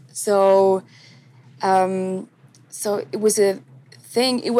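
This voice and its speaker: A woman with a German accent speaks at a medium pitch in a dark, mellow tone with fairly even intonation. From Switzerland. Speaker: singer, recording artist. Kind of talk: interview. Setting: outdoors, remote call.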